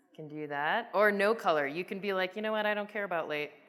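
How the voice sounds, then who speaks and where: This is a woman speaking with a Midwestern US accent. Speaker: software product manager. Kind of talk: conference presentation with live demo. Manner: casual, animated; halting, many fillers.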